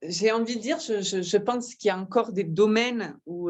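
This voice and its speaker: In a southern French accent, a woman speaks with lively intonation. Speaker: wellness massage practitioner. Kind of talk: interview, personal sharing. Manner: halting, hesitant.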